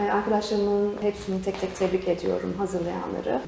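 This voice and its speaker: A woman's medium-pitched voice moves at a moderate pace, with background noise clearly noticeable. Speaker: voice actor and program host. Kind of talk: interview answer.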